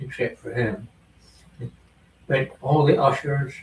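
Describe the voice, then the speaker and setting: A man talks very slowly, his voice somewhat breathy and his pitch varying in an ordinary way. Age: 80s+. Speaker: retiree guest. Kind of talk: casual chat.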